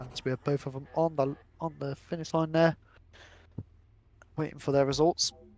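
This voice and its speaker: A man speaks over background music, his voice dry and close with no echo. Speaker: sim racing commentator. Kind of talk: live commentary. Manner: fast; animated.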